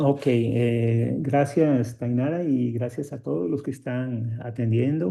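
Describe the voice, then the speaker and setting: Speaking very slowly, a man has a dark, mellow tone. His pitch variation is ordinary. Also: medium pitch for a man, hardly any pauses. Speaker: mathematics professor. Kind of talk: lecture. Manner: halting, many fillers.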